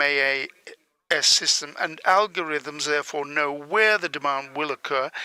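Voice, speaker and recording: The bright, sharp tone comes at a moderate pace with ordinary pitch variation, in a dry, close sound with no echo. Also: man. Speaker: conference interpreter. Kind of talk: conference presentation.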